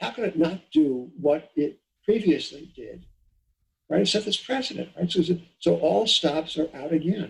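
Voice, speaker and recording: An American accent with vocal fry, at a moderate pace. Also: man. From New York, Long Island. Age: 70s. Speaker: economist and financial editor. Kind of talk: interview. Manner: halting. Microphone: poor sound quality.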